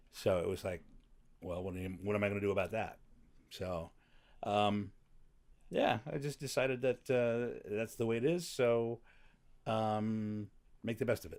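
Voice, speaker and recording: On a very clean recording with a silent background, a man of medium pitch speaks at a moderate pace, with ordinary pitch variation and long, frequent pauses. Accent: American. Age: 60s. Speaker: podcast guest, comedian. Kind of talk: casual interview. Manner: halting.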